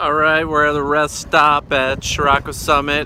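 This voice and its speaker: There is noticeable background noise throughout. A man's voice carries audible room echo. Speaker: vlogger and poker player. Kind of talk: casual vlog. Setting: outdoors at a rest stop.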